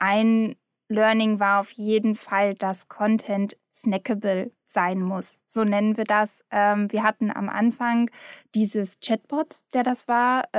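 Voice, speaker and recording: A woman's fairly high voice, very slow and monotone with flat intonation, in a dry, close sound with no echo and a very clean recording over a silent background. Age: 20s. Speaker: content and project manager. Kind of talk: casual chat.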